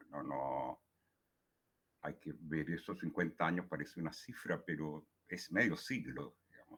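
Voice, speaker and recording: With vocal fry and a bright, sharp tone, a man speaks at a fairly slow pace. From Chile. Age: 70s. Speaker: poet. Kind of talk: talk at a writing workshop. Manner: halting, many fillers and repetitions.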